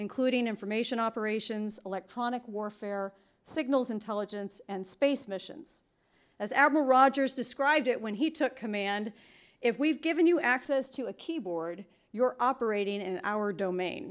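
Against a quiet backdrop, a woman talks at a moderate pace. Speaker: event host introducing speaker. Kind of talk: formal introduction speech. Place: hall.

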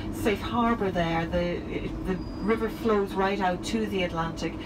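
A woman talks over loud background noise. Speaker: tour guide. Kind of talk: tour commentary. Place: bus. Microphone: pa.

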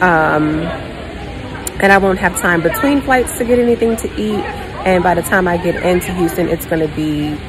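At a moderate pace and with ordinary pitch variation, a woman talks in a fairly low pitch while crowd noise fills the background. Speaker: flight attendant vlogger. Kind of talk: casual vlog chat. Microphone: phone near.

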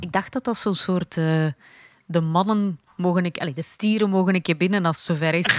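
Against a quiet background and with a dry sound and no echo, a woman talks at a fairly quick pace and a fairly low pitch with ordinary pitch variation. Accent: Flemish. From Flanders, Belgium. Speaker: podcast co-host. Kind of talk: casual chat.

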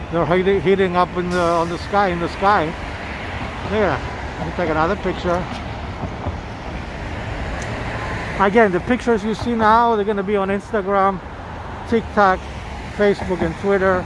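The voice moves at a moderate pace with long, frequent pauses, over a dry sound with no echo and noticeable background noise. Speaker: walking tour vlogger. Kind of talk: casual vlog commentary. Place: street. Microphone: phone near.

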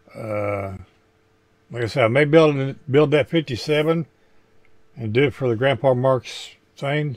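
The speech goes at a slow pace with long, frequent pauses and big pitch swings. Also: man.

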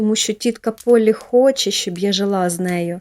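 The speaker uses a natural reading voice, and the pitch varies in an ordinary way.

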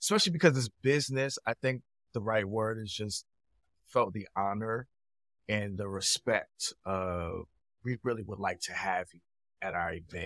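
With long, frequent pauses, a man talks at a moderate pace and ordinary pitch variation, the sound dry with no echo over a quiet background. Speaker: podcast guest. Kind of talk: interview answer. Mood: upbeat, smiling. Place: home room.

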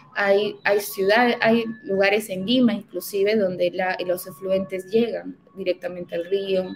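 A woman speaks at a medium pitch and a fairly slow pace. Her intonation stays fairly even over faint background music. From Peru, Huancayo (central highlands); Peru. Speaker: environmental consultant; guest. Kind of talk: webinar presentation. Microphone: webcam.

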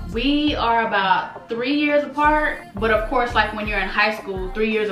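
Against clear background music and audible room echo, a woman speaks with ordinary pitch variation. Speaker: vlogger. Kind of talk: casual storytime vlog. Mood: earnest, reflective. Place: home room.

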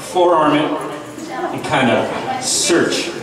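Noticeable background noise and audible room echo around a man's speech. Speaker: roast comedian. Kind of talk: roast comedy set, crude insult jokes delivered to a live crowd. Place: bar.

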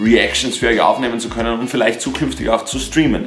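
A man with ordinary pitch variation, audible room echo and faint music in the background. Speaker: youtuber. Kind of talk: casual vlog chat. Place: home room.

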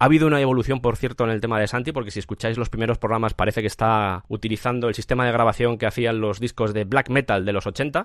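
A man with a medium-pitched voice talks at a very fast pace over a quiet background. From Spain, raised in Madrid, family from Cuenca. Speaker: podcast creator. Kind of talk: interview.

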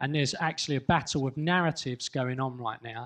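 Speaking at a fairly quick pace, a man has a medium pitch, ordinary pitch variation and a fairly bright tone.

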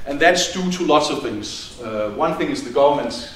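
Lively intonation from a man with a Danish accent, with light background noise and audible room echo. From Denmark. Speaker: university department head. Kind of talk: welcome speech. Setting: stage with audience. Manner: casual and humorous, frequent laughs and filler words. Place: hall.

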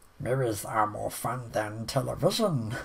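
Using a put-on character voice, a man speaks with a medium pitch. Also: moderate pace. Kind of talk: casual vlog chat. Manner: eerie, cryptic. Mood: amused, grinning.

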